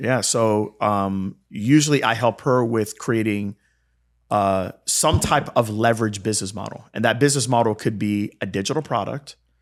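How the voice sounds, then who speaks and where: Speaking at a moderate pace, a man uses a normal speaking voice and fairly even intonation. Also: fairly low pitch for a man, very clean recording, silent background. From South Florida, born in Jamaica. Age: 40s. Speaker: healthcare business founder and former physical therapist. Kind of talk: podcast interview.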